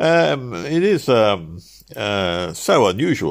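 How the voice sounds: A man does a put-on character voice with vocal fry. It sits fairly low and moves in big pitch swings.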